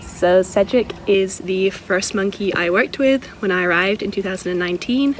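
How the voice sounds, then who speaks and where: With noticeable background noise, a woman with a Scottish accent talks at a fairly slow pace, with medium pitch and ordinary pitch variation. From Scotland. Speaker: wildlife sanctuary worker. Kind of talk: casual vlog walkthrough.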